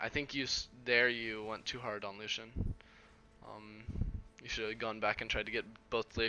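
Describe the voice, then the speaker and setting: Long, frequent pauses from a man at a medium pitch. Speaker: video game coach. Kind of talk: coaching session reviewing gameplay. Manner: fast; casual with many fillers.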